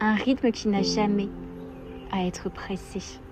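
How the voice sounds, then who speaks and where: A soft-spoken woman over music in the background. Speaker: meditation guide. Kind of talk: guided meditation. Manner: slow.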